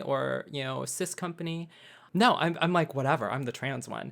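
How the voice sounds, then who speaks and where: A woman with an American accent speaks at a fairly quick pace, showing vocal fry and ordinary pitch variation. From US Midwest, Wisconsin. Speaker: actor and comedian. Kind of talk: podcast interview.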